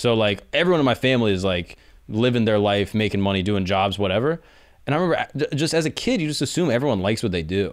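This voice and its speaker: Speaking at a very fast pace, a man with a fairly low pitch has an American accent and lively intonation. The background is quiet. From Florida, Orlando; Florida. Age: 20s. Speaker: podcast host, comedian. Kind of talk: casual chat. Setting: studio. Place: studio. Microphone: studio mic.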